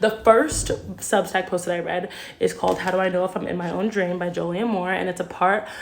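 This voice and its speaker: A woman talks at a fairly quick pace with fairly even intonation. Noticeable background noise runs underneath. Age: 20s. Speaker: vlogger. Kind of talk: casual video journal. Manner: filler-heavy, says um a lot.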